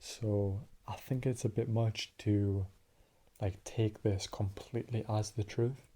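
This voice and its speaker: A man's somewhat breathy, dark, mellow voice, very slow and monotone, with flat intonation. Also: fairly low pitch for a man. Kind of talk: analytical discussion of a story, theory talk. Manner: whispered, calm, relaxing.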